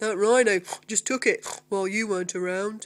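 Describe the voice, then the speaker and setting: A female-sounding voice in a put-on character voice speaks at a moderate pace and medium pitch, on a very clean recording with a silent background. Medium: read story.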